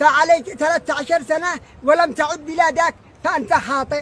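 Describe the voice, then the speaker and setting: A man with a Yemeni accent and an extremely high pitch, at a moderate pace with ordinary pitch variation. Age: 70s. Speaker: father appealing to absent son. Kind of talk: emotional plea. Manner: halting.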